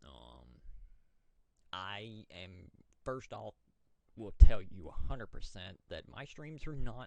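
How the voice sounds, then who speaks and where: Speaking in an American accent at a very slow pace, the voice makes long, frequent pauses, with big swings in loudness and very wide pitch swings. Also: man. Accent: Southern US accent, others remark on it. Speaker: gamer and streamer. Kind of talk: casual monologue. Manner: halting, repeats words.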